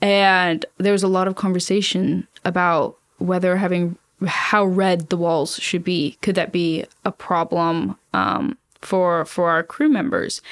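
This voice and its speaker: With an American accent, a woman talks at a medium pitch, with ordinary pitch variation. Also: fairly slow pace, very even loudness. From US South, Savannah, Georgia. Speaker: space project manager. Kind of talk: interview.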